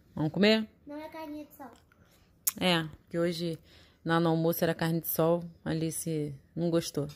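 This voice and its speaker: A woman speaking with long, frequent pauses. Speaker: family vlogger. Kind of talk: casual vlog chat.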